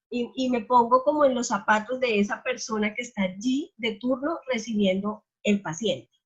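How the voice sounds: A woman's fairly high voice with a slightly husky edge, ordinary pitch variation and a moderate pace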